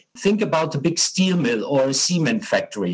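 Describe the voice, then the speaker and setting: Speaking at a moderate pace with a German accent, a man uses a fairly high pitch for a man and very wide pitch swings. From Germany. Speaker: hydrogen industry association co-founder. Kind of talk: interview. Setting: call. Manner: hesitant, many fillers.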